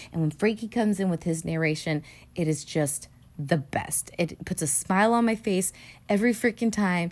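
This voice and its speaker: A woman with a plain, everyday voice speaks at a fairly low pitch and a moderate pace, with ordinary pitch variation and very even loudness. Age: 30s. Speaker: podcast host. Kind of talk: solo casual commentary. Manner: casual with frequent fillers.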